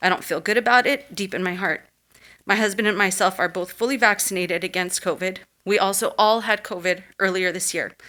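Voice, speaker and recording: Shaky and bright, a woman's voice carries a sharp tone. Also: medium pitch for a woman, fairly even intonation, fairly quick pace, very clean recording, silent background. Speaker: parent giving public comment. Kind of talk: public comment at school board meeting. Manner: shaky voice.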